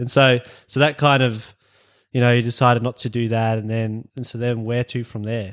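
Against a silent background on a very clean recording, a man with an Australian accent talks. His medium-pitched voice stays monotone and flat at a moderate pace. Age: 20s. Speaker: podcast host. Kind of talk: casual chat.

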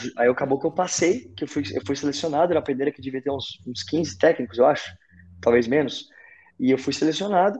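A man in an unremarkable speaking voice, fairly quick, with ordinary pitch variation and big swings in loudness. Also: fairly high pitch for a man. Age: 30s. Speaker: CrossFit event announcer and fitness coach. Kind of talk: casual chat.

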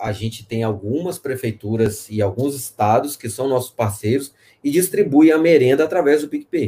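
A man's somewhat breathy voice of medium pitch, dark, mellow tone and moderate pace. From Espírito Santo, Brazil. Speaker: fintech executive. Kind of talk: live interview.

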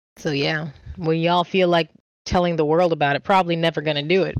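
A woman speaks in an ordinary speaking voice at a fairly low pitch and a fairly quick pace. Her intonation is fairly even, and the sound is dry and close with no echo. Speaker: streamer and artist. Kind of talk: casual interview chat. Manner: rambling, talks fast, leaps between topics.

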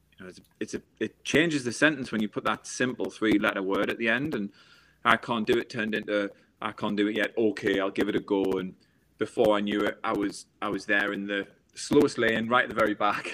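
In a very clean recording with a silent background, a man with a northeast English accent speaks at a fairly quick pace, his fairly low pitch carrying a bright, sharp tone and fairly even intonation. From northeast England. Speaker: former Olympic swimmer and motivational speaker. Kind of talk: interview conversation.

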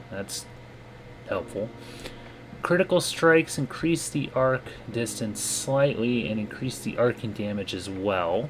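Over noticeable background noise, a man speaks at a fairly slow pace with long, frequent pauses. His medium-pitched voice carries lively intonation. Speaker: podcast co-host. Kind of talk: informational lore segment.

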